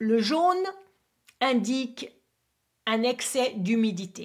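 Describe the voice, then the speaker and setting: A woman's somewhat breathy voice in an English accent, very slow, with lively intonation. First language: English (speaking French). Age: 50s. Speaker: acupuncturist and teacher. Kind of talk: tutorial. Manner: halting, non-native French.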